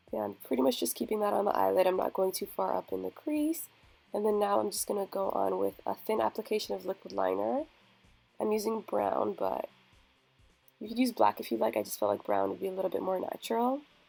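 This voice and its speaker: A woman at a very fast pace, with music in the background. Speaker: beauty vlogger. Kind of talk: tutorial.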